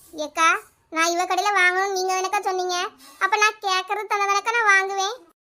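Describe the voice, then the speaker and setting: A woman uses a cartoonish character voice, squeaky and extremely high in pitch. She keeps a moderate pace with monotone, flat intonation. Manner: argumentative, stubborn.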